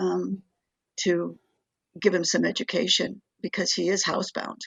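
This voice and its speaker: The speaker is a woman whose voice sits at a medium pitch. She talks fairly slowly. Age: 70s. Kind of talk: radio interview. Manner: halting, many fillers.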